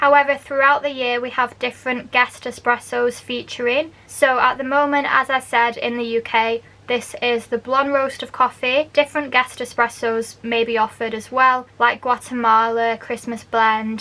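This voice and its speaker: A woman speaks at a moderate pace with hardly any pauses, her high voice bright and sharp in tone and monotone, flat in intonation. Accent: Manchester. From Manchester, England. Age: 20s. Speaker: barista; university language student. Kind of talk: casual explainer talk to camera.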